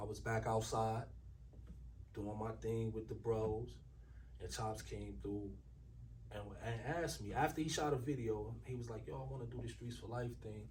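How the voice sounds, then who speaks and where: A man with an American accent speaks with long, frequent pauses amid audible room echo. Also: moderate pace. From Newark, New Jersey. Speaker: rapper. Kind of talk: casual interview.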